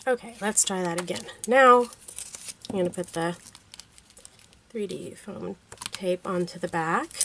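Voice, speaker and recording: The voice moves at a fairly slow pace, with ordinary pitch variation and long, frequent pauses. Noticeable background noise sits behind it. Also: woman, medium pitch for a woman. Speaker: card-making crafter. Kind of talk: tutorial. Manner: casual, conversational.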